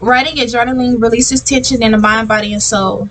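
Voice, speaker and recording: Over noticeable background noise, a woman talks at a very fast pace. Her fairly high voice has lively intonation. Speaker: podcast host. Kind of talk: reading slides aloud in a self-help podcast. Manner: fast reading, stumbling; tongue-tied, restarting lines.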